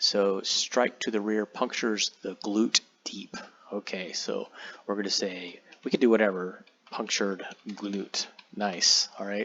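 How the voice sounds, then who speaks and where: Over noticeable background noise, a man speaks in a flat monotone at a fairly low pitch. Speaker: tabletop game software tutorial creator. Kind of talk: tutorial. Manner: casual, many fillers and repeats.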